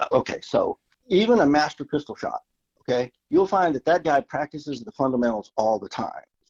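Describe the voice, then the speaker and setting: A man's loudness swings widely while he talks at a moderate pace. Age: 60s. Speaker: gunsmith and shooting instructor. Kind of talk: interview. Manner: halting, repeats words.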